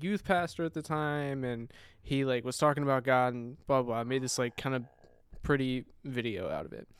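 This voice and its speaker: On a very clean recording with total background silence, a man with an unremarkable speaking voice talks at medium pitch with fairly even intonation. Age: 20s. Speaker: freelance filmmaker and photographer. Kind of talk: casual chat.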